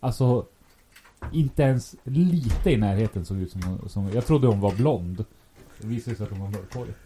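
With a dark, mellow tone and a somewhat breathy quality, a man speaks at a moderate pace in a fairly low pitch and with lively intonation. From Sweden, Västerås. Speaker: podcast co-host. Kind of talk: casual chat. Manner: kind, caring tone.

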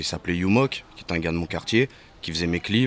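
Here a man talks with a very deep, low pitch. His pitch variation is ordinary. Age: 20s. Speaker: rapper. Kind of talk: casual chat.

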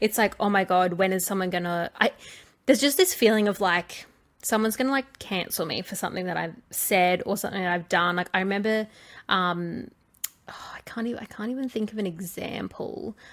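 Recorded very cleanly against a silent background, a woman with an Australian accent speaks at a fairly quick pace, with ordinary pitch variation and big swings in loudness. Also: medium pitch for a woman. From small-town Australia. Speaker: podcast co-host. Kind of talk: casual chat.

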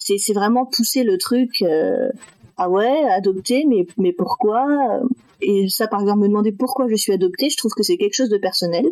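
A woman with a fairly high pitch and lively intonation speaks at a moderate pace and very even loudness over noticeable background noise. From France, Metz (north-east). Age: 20s. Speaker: adoptee sharing her story. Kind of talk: testimony.

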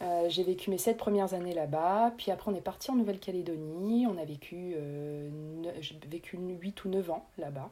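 Her pitch is fairly low, and this woman speaks at a moderate pace. She varies her pitch in an ordinary way. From Réunion. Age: 30s. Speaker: nurse and food blogger. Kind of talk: interview conversation.

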